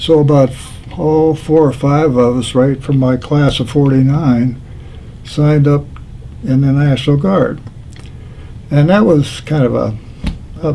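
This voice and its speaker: A man with an American accent, fairly high in pitch, at a fairly slow pace with fairly even intonation, over noticeable background noise. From Pennsylvania. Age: 80s+. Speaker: war veteran. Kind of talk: oral history interview. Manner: halting.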